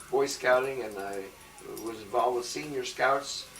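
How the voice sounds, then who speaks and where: A man with an American accent talks at a moderate pace. Audible room echo and noticeable background noise are present. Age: 70s. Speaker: retired teacher. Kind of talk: oral history interview.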